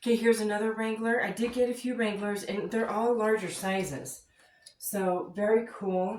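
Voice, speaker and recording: A woman's fairly high voice at a moderate pace, fairly even in intonation, against noticeable background noise. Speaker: full-time reseller and haul vlogger. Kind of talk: casual haul video.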